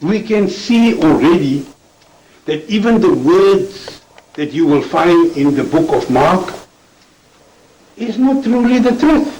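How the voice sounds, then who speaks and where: This man's high-pitched voice moves very slowly, with very wide swings in pitch and long, frequent pauses, over noticeable background noise and audible room echo. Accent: non-native. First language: not English. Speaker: debater. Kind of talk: debate.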